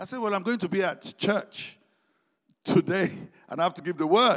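A man is speaking. His pace is fairly quick. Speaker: lay preacher. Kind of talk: sermon with personal testimony. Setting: church service.

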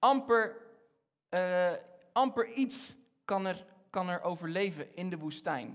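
A man's high-pitched voice at a very slow pace, with long, frequent pauses and ordinary pitch variation. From Egypt. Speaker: preacher. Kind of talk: sermon. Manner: halting.

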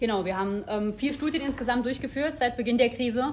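A woman speaks over noticeable background noise. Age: 30s. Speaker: health researcher, professor. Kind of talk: interview.

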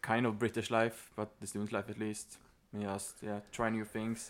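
A man speaks with a Swedish accent and fairly low pitch. His intonation is flat and monotone. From Sweden. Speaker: former exchange student. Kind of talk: casual chat.

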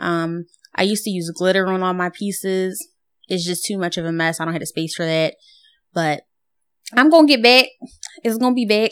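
The speech moves at a fairly quick pace, broken by long, frequent pauses. Its pitch varies in an ordinary way. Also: woman, medium pitch for a woman, very clean recording, silent background. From Philadelphia, US. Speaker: painter. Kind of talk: casual chat.

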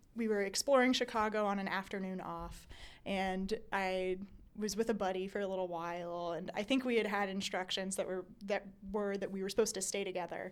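With an American accent, this speaker uses an ordinary speaking voice at a fairly quick pace, the intonation fairly even. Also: woman, medium pitch for a woman. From US South, Raleigh, North Carolina. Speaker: graduate student. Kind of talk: interview storytelling.

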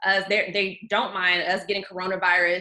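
The voice has a bright, sharp tone. It is delivered with an American accent. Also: woman. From US South, Georgia (outside Atlanta). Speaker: journalist. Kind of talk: casual chat.

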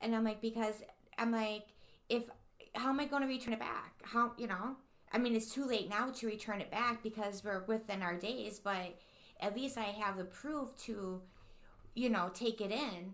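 A woman with a normal speaking voice talks at a moderate pace, her fairly high pitch carried by fairly even intonation. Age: 40s. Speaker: podcast co-host. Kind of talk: casual chat.

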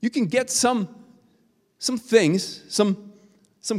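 With a Swedish accent, a man talks at a high pitch. His tone is animated. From Sweden. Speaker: guest preacher. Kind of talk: sermon. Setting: church.

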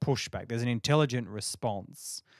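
In a very clean recording with a silent background and a dry, close sound with no echo, a man speaks with an Australian accent. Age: 30s. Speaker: podcast guest. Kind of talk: casual chat.

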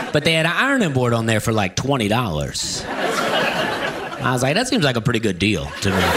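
A man with an American accent at medium pitch, lively intonation, moderate pace, hardly any pauses, and noticeable background noise. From US South, Opelika, Alabama. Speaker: stand-up comedian. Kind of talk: casual chat; stand-up. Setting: radio studio.

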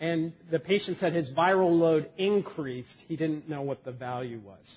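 With a fairly high pitch and ordinary pitch variation, a man talks at a fairly slow pace. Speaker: physician lecturer. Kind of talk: medical lecture. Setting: conference room with audience. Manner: jokey, animated.

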